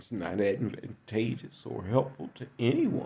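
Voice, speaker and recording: Speaking at a fairly slow pace, a man has a dark, mellow tone with vocal fry. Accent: American. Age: 60s. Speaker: political commentator. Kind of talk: political monologue.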